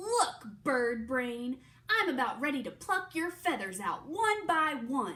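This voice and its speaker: A put-on character voice, high-pitched and raised to project, swings very widely in pitch. The pace is fairly slow. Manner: hissing through gritted teeth, threatening.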